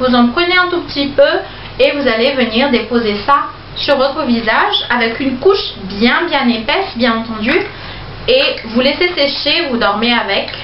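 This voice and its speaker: In a room with audible echo and light background noise, a woman with a high pitch and lively intonation talks at a fairly slow pace. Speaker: beauty vlogger. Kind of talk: product review haul. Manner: slow, chatty with many fillers. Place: home room. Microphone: phone near.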